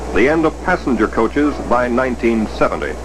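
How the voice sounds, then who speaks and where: A man speaks at a moderate pace. Music plays behind him. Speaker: newsreel narrator. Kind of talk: newsreel narration.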